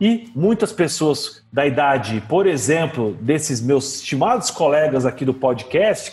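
A man's voice with very wide pitch swings at a fairly slow pace, amid noticeable background noise. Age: 40s. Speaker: HR director. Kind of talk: casual interview.

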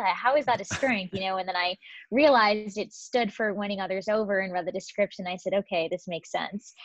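A woman's normal speaking voice at a medium pitch, with an American accent and ordinary pitch variation. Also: fairly quick pace, dry, close sound with no echo. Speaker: strengths coach. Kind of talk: casual interview.

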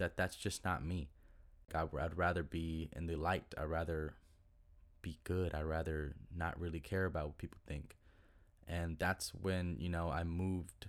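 In an American accent, a man with a very deep, low pitch speaks at a fairly slow pace in a flat monotone. The recording is very clean, with a silent background. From Texas, Duncanville (Dallas area). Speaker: musician and podcast host. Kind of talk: casual solo monologue.

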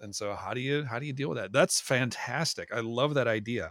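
A plain, everyday voice with an American accent, fairly quick pace and ordinary pitch variation, on a very clean recording with a silent background. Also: man. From Minnesota. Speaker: podcast host and physical therapist. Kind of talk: interview.

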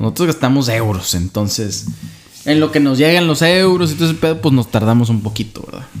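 Talking at a fairly quick pace with lively intonation, a man at a medium pitch is heard over noticeable background noise. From Saltillo, Coahuila, Mexico. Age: 30s. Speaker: podcast co-host. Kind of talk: casual chat.

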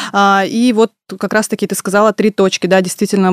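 A woman talks at a very fast pace in a medium pitch, with a dry, close sound and no echo. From Russia, Tyumen. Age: 30s. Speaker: entrepreneur, café and delivery restaurant co-founder. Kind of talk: radio interview. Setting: radio studio.

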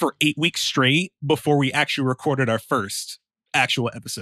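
A man with a fairly high voice speaks at a moderate pace, his bright, sharp tone caught in a dry, close recording with no echo. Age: 20s. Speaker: music producer and podcaster. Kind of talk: casual chat.

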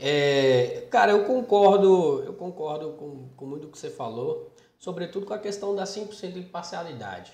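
Speaking at a moderate pace with hardly any pauses, a man uses a high pitch and lively intonation, his loudness swinging widely. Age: 20s. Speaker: podcast host. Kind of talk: casual interview.

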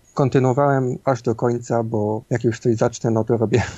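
The man's tone is dark and mellow. He keeps his intonation fairly even. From Silesia, Poland (Bytom). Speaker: indie game developer and architectural visualiser. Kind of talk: interview. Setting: home studio. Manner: halting.

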